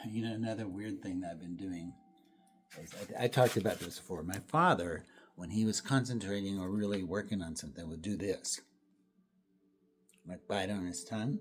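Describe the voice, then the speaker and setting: A soft-spoken man's fairly low, relaxed voice at a fairly quick pace, with long, frequent pauses and big swings in loudness. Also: ordinary pitch variation. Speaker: painter. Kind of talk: studio painting vlog. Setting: art studio. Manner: relaxed, halting.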